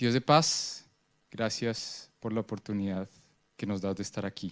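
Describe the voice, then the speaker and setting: This man speaks at a moderate pace in a fairly low pitch, with a dry, close sound free of echo on a very clean recording against a silent background. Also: ordinary pitch variation. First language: Spanish. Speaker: prayer leader at a church conference. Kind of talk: prayer.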